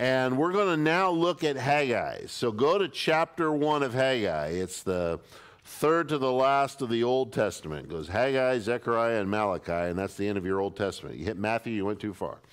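A man at a moderate pace with hardly any pauses, against a quiet background. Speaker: pastor. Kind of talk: sermon. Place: church.

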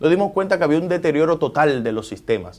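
Ordinary pitch variation in a man's high-pitched voice. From Dominican Republic. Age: 40s. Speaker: government agency director and politician; politician. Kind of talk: TV interview. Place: office. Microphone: lapel.

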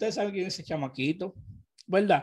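A man speaks in a high pitch with a Dominican accent. The background is quiet. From Dominican Republic. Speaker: urban music news vlogger. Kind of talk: casual commentary. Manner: animated. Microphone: studio mic.

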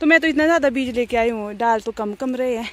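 A woman talks at a fast pace. Her pitch is fairly high. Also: ordinary pitch variation.

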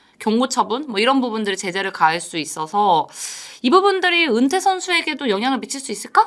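Through noticeable background noise, a woman with a high pitch speaks at a fairly quick pace with very wide pitch swings. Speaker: reporter co-host explaining baseball news. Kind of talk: news explainer chat.

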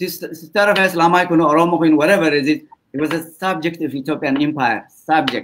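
This is an unremarkable speaking voice. It carries on with hardly any pauses. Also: man, fairly high pitch for a man, fairly even intonation, moderate pace. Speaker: political debate panelist. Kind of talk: debate discussion.

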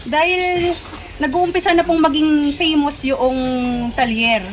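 At a fairly slow pace, a woman speaks over noticeable background noise. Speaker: customer picking up a vehicle. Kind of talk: casual interview.

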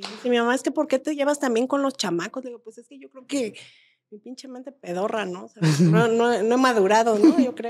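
A woman speaks in a high pitch, with big swings in loudness. Light background noise sits behind her. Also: ordinary pitch variation, fairly quick pace. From Mexico. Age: 40s. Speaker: comedian's friend, podcast guest. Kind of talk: casual chat. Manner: animated. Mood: candid, humorous, emphatic. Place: studio. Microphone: studio mic.

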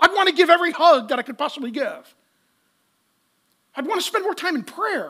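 A man speaks at an extremely high pitch with a bright, sharp tone. His pace is fairly quick and his pitch swings are big.

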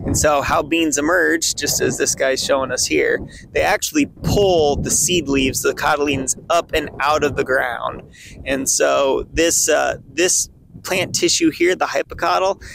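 A man delivers his words at a fairly slow pace while noticeable background noise carries on. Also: very even loudness, dry sound with no echo. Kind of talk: tutorial. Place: open country. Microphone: phone near.

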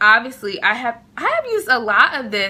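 Using a plain, everyday voice, a woman with a fairly high pitch speaks at a moderate pace. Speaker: beauty vlogger. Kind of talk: casual vlog tutorial. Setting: dorm room. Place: home room.

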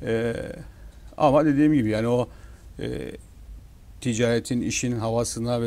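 A man speaks at a moderate pace with a medium pitch. His tone is dark and mellow, with ordinary pitch variation. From Northern Cyprus, İskele; Northern Cyprus. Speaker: newspaper owner and businessman; newspaper owner. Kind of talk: TV talk show interview. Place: studio. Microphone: lapel.

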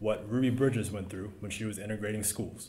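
The man's voice is somewhat breathy. His intonation stays fairly even. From US South, South Carolina. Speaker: school board candidate, military veteran; candidate. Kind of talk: candidate forum answers. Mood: earnest, reflective. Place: meeting room.

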